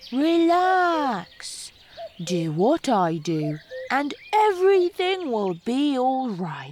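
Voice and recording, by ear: A put-on character voice that sounds female speaks very slowly at a high pitch with very wide pitch swings.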